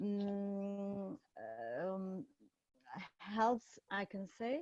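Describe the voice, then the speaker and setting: A woman's fairly high voice with a dark, mellow tone and a Turkish accent, dry and close with no echo. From Turkey, Istanbul. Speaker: psychiatrist. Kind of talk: conference presentation. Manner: halting, many fillers.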